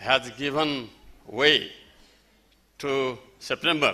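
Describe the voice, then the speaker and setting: At a very slow pace, a man talks with a bright, sharp tone and a medium pitch. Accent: Nepali. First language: Nepali. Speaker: festival speaker. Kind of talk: speech. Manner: halting.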